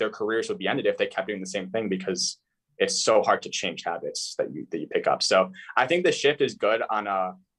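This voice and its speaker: On a very clean recording with a silent background, a man speaks at a fairly quick pace with an American accent. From US Midwest, Chicago suburbs. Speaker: sports analytics writer. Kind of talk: interview. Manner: fast.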